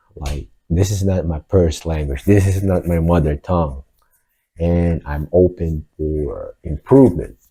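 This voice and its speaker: Here a man talks at a fairly slow pace in a very deep, low voice with a dark, mellow tone. The sound is dry and close, with no echo. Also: ordinary pitch variation, very clean recording, silent background. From Philippines. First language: Filipino (Tagalog). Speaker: vlogger. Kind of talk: casual monologue. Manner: hesitant, with fillers.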